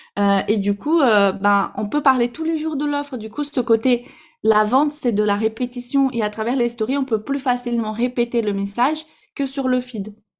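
Recorded very cleanly against a silent background, a woman speaks at a high pitch with a slight Brazilian accent. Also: ordinary pitch variation, moderate pace. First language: Portuguese (speaking French). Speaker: Instagram marketing coach. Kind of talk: podcast interview. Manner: hesitant, many fillers.

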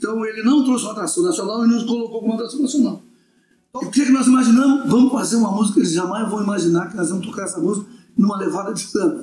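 Over music in the background, a man with a high pitch talks at a very fast pace with ordinary pitch variation. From Brazil, Florianópolis. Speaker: samba musician. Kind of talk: casual chat.

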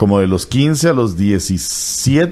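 Very wide pitch swings in a man's fairly low voice. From Costa Rica, Limón. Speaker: radio announcer. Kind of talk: interview.

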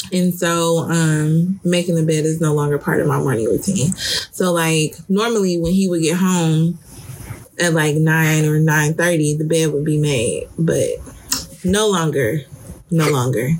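Noticeable background noise surrounds a woman with a very deep, low pitch. She speaks at a fairly slow pace, with very even loudness and fairly even intonation. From Detroit, US Midwest. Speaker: podcast co-host. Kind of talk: casual chat.

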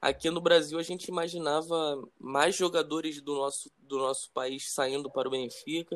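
Here a man talks in a normal speaking voice at a moderate pace. His pitch is fairly high and his intonation fairly even. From Brazil. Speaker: football podcast host, club fan. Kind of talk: casual interview chat.

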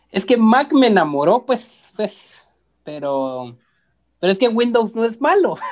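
The voice moves at a very slow pace while its pitch swings very widely. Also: man, high pitch for a man. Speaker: graphic designer. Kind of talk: casual chat.

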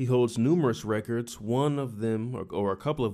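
This man has a dark, mellow tone, a medium pitch and ordinary pitch variation, speaking at a fairly quick pace. The recording is very clean, with a silent background. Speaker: baseball podcast co-host. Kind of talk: casual chat. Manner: loud.

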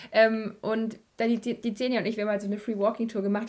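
Talking very fast, a woman uses a fairly high pitch. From Bavaria. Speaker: podcast host. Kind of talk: casual interview.

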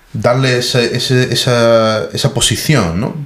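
Over noticeable background noise, a man talks at a very slow pace in a medium pitch. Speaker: expat software professional. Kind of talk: casual chat. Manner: halting, many repetitions.

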